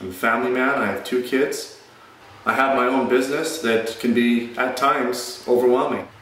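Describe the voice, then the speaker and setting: There is audible room echo around the voice. A man speaks at a moderate pace. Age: 40s. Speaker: fitness vlogger. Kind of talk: channel intro monologue. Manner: casual. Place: gym. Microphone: phone near.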